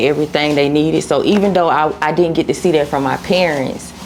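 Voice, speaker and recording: Through noticeable background noise, a woman with an American accent speaks at a very fast pace in a very deep, low pitch with fairly even intonation. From Cobb County, Georgia, US South. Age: 30s. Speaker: content creator. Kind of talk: interview.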